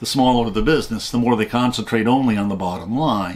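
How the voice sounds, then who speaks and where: Here is a man with a normal speaking voice and an American accent. He talks at a medium pitch and a fairly quick pace. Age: 60s. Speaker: channel host, commentator. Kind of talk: scripted narration.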